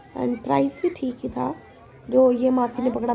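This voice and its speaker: With crowd noise in the background, a woman talks at a moderate pace. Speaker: vlogger. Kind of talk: casual vlog narration.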